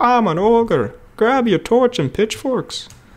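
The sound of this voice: The speaker uses a put-on character voice at a fairly high pitch. Delivery moves at a fairly slow pace.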